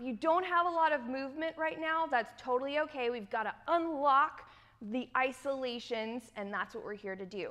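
A woman projects a raised voice with a bright, sharp tone and lively intonation at a moderate pace. Her loudness swings widely against a quiet background. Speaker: dance instructor. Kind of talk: tutorial. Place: studio.

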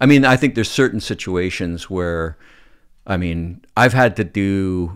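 A man with a western Canadian accent speaks at a fairly slow pace with very deep, low pitch. His pitch varies in an ordinary way against a quiet background. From Canadian Prairies (Calgary, Alberta); Alberta. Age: 50s. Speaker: film and TV director; podcast guest. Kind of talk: casual chat. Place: studio. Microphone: studio mic.

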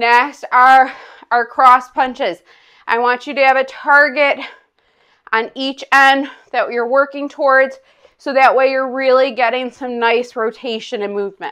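A woman's high, raised, projected voice with a bright, sharp tone at a fairly slow pace. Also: quiet background. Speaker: fitness instructor. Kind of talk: guided exercise class. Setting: online video class. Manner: upbeat, energetic, coaching in short commands; counts aloud and paces reps with timing cues. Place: home room.

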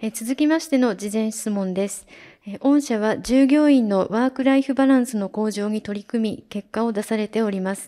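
Over a quiet background, a woman speaks in a dark, mellow tone at a moderate pace with ordinary pitch variation. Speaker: seminar moderator. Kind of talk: moderating Q&A. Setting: seminar venue with audience. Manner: formal. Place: hall.

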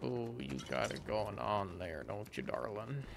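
Against loud background noise, a man puts on a character voice at a fairly low pitch and a fairly slow pace. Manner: flirty, smooth.

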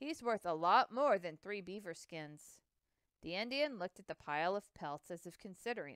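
Against a quiet background, the speaker gives plain reading aloud with lively intonation.

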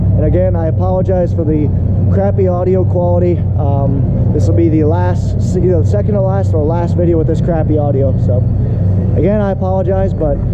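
A man with ordinary pitch variation talks at a fairly quick pace against loud background noise. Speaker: farmer vlogger. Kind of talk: casual vlog chat. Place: hall. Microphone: phone near.

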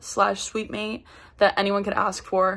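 Against a quiet background, a woman talks at a medium pitch. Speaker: college student. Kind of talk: recorded tribute message. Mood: warm, affectionate, playful. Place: home room. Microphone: phone near.

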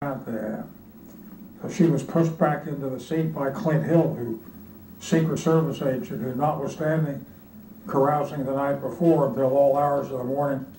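A man's fairly high voice at a moderate pace, with ordinary pitch variation, audible room echo and light background noise. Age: 80s+. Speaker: former government official. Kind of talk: oral history interview answer. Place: office.

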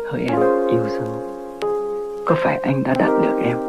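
Loud music fills the background while a man with a Hanoi accent speaks at a fairly slow pace. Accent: old Hanoi Vietnamese. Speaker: radio host. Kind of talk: lyrical radio narration. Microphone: old recording.

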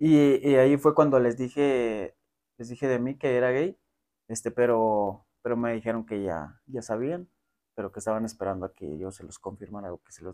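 Lively in intonation, a man speaks in a dark, mellow tone at a moderate pace, with long, frequent pauses. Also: big swings in loudness. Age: 20s. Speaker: adult content creator. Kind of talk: interview. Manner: halting. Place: home room. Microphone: lapel.

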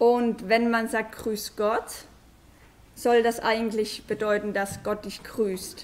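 Very slowly, a woman speaks in a fairly high pitch with monotone, flat intonation. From Germany. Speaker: foreign guest speaker, parent; guest. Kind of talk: presentation to schoolchildren. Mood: friendly, relaxed. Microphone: podium.

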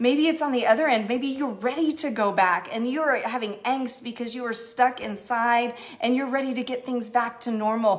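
With a warm tone and fairly even intonation, a woman speaks in a high pitch at a moderate pace. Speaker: church executive minister leading online prayer. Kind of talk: fervent prayer, earnest spoken petition to God with a hushed, intimate tone. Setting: Facebook Live stream, online church gathering. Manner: warm, heartfelt, sincere, gently pleading and affectionate. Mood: earnest, prayerful. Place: home room. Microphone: phone near.

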